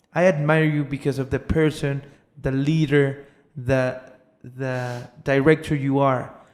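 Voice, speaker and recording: A man with a Spanish accent talks at a fairly slow pace in a fairly high, monotone voice. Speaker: podcast host. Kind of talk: interview.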